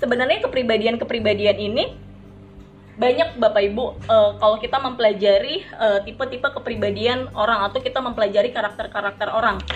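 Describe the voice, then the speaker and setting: The delivery is very fast, with fairly even intonation. Noticeable background noise sits behind it. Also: woman, fairly high pitch for a woman. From Serang, Banten, Indonesia. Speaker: network marketing trainer. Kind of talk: motivational training talk.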